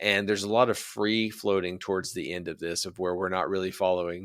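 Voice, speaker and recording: With an American accent, a man talks very fast with hardly any pauses. His pitch is very deep and low, and the recording is very clean with a silent background. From US, rural West Virginia. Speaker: podcast host and army officer. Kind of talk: podcast interview.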